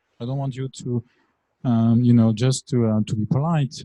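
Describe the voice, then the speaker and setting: Heard in a dry, close sound with no echo, a man with a French accent speaks at a fairly quick pace, his somewhat breathy voice medium in pitch, dark and mellow in tone, with ordinary pitch variation. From France. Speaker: lecturer. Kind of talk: lecture. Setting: classroom. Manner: hesitant, many fillers.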